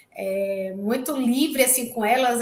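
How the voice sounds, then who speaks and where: A woman talks with a northeastern Brazilian accent and a high pitch. Noticeable background noise can be heard. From Brazil, interior of Bahia (Itabuna). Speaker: researcher, graduate student. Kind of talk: invited talk in an online class. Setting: online live session. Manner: halting, many fillers.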